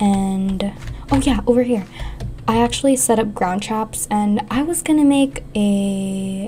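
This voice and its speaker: A woman talks with a fairly high pitch and lively intonation. Noticeable background noise can be heard. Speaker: gaming youtuber. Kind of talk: casual gameplay commentary.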